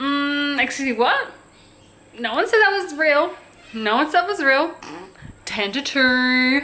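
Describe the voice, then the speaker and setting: There is noticeable background noise as a woman talks at a moderate pace. She has an Australian accent and lively intonation. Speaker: vlogger. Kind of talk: casual vlog. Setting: at home. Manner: whispering.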